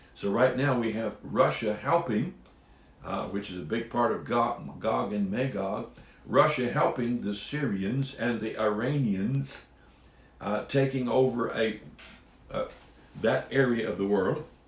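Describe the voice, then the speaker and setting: A man speaks at medium pitch and a fairly slow pace with ordinary pitch variation. Audible room echo and noticeable background noise are present. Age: 70s. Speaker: Bible teacher. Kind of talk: Bible teaching talk. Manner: casual.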